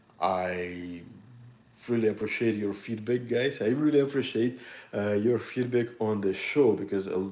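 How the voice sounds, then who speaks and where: A man speaks with a Russian accent at a moderate pace. His pitch is medium, and his tone is dark and mellow. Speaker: military antiques collector and dealer. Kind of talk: casual video monologue to viewers. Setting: home studio. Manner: halting with many fillers.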